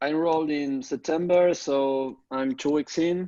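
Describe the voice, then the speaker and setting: A man's fairly high voice, dark and mellow in tone, with fairly even intonation against a quiet background. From Argentina. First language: Spanish. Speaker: online course student. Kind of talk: group coaching call. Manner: halting, many fillers.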